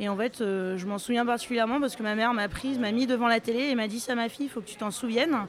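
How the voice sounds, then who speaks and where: Pitch varies in an ordinary way while the words come out very fast. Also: woman. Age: 30s. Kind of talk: casual vox-pop interview. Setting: live event among the public.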